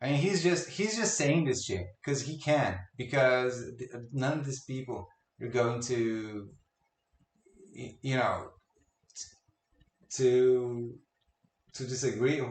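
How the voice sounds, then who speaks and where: Very slow and broken by long, frequent pauses, a man speaks with a non-native accent in a somewhat breathy voice whose loudness swings widely. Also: medium pitch for a man, ordinary pitch variation. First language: not English. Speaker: video game commentary youtuber. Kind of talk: reaction commentary.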